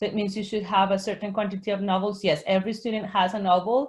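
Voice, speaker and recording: A woman speaks at a very fast pace in a Spanish accent, her medium-pitched voice somewhat breathy. The background is quiet. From Colombia. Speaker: Spanish teacher and author. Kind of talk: webinar Q&A. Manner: halting, frequent self-corrections.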